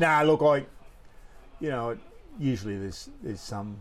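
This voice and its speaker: Lively in intonation, a man with an Australian accent talks at a fairly quick pace. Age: 70s. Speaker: surfboard shaper. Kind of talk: casual chat.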